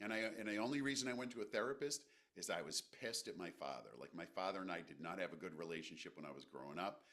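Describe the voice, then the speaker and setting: At a very fast pace, a man talks in a fairly low pitch with an animated tone and lively intonation. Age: 60s. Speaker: psychiatric nurse and breathwork practitioner. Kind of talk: podcast interview, personal testimony. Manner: conversational, animated.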